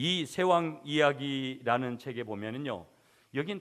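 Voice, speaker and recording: Speaking at a fairly slow pace and medium pitch, a man is heard on a very clean recording with a silent background. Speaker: pastor. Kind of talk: sermon.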